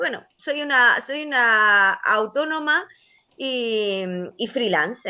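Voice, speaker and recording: The tone is bright and sharp, with very wide pitch swings. The recording is very clean, with a silent background. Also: woman. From Andalusia, Almería (El Ejido). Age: 40s. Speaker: sports journalist. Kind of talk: interview. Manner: hesitant, many fillers.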